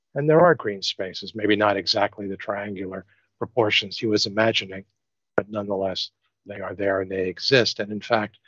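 A man with an American accent and a normal speaking voice talks in a fairly low pitch with fairly even intonation, the sound dry with no echo against a quiet background. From New York. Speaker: architect. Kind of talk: design presentation. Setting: video call. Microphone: video call.

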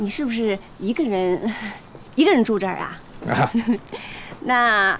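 Over light background noise, the voice moves at a moderate pace with lively intonation. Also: woman. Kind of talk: scripted drama dialogue. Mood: cheerful, coaxing, flirtatious. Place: garden.

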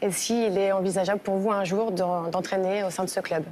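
Over light background noise, the speaker keeps a moderate pace and fairly even intonation. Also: woman. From France, Lyon; France. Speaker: subscriber asking questions; questioner. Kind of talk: interview questions. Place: studio. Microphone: lapel.

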